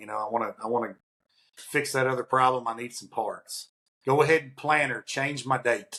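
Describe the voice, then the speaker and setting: Bright and sharp in tone, a man speaks at a medium pitch. His pace is fairly quick and his intonation fairly even. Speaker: podcast co-host, industrial maintenance consultant; podcast co-host. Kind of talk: casual conversational podcast. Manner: many fillers and restarts. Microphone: video call.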